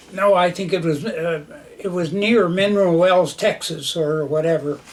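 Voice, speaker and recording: The intonation stays fairly even, with an American accent. Noticeable background noise runs underneath. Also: man, high pitch for a man, moderate pace. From northwestern Minnesota. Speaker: war veteran. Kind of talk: oral history interview. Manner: halting, many fillers.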